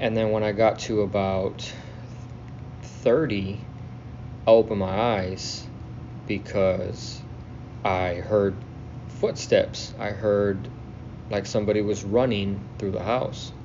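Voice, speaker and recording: Over audible room echo, a man with an American accent speaks very slowly at a fairly low pitch, with ordinary pitch variation and long, frequent pauses. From South Texas. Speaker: listener telling own story. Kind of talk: self-recorded storytelling.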